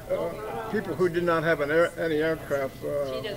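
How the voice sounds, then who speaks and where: A man with a fairly high voice and ordinary pitch variation talks while noticeable background noise continues. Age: 90s. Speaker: war veteran. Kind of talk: testimony. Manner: halting.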